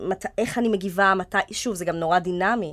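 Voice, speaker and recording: With a normal speaking voice, the talking unfolds at a moderate pace and with fairly even intonation. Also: woman. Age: 20s. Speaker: actress. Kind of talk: casual chat.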